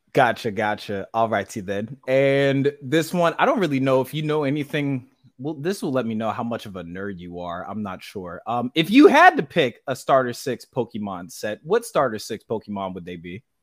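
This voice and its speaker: In a very clean recording with a silent background, a man speaks at a medium pitch and a moderate pace with lively intonation. His loudness swings widely and he hardly pauses. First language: not English. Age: 20s. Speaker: podcast host. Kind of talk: casual interview.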